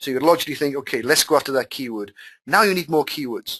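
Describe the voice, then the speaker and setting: Over a quiet background, a man with a Welsh accent speaks at a medium pitch with lively intonation. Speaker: online marketing teacher. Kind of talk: live webinar tutorial. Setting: webinar call. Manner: casual, animated.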